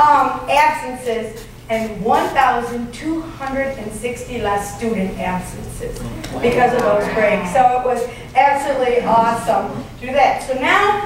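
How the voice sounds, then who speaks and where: Over noticeable background noise and audible room echo, a woman with an American accent speaks at a fairly slow pace, her high pitch carried by lively intonation. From Michigan, US. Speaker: elementary school principal. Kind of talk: conference presentation. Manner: loud.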